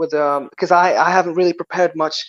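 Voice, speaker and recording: A man with a Moroccan accent talks at a high pitch in a dry, close sound with no echo. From Morocco. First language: Berber (Amazigh). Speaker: guest from Morocco. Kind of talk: casual interview chat. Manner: halting, repeated words; animated.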